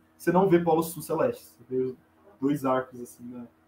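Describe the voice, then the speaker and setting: Ordinary pitch variation marks this man's speech. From Brazil, Goiás (Goiânia). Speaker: astronomy student and astrophotographer. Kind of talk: explanatory interview chat.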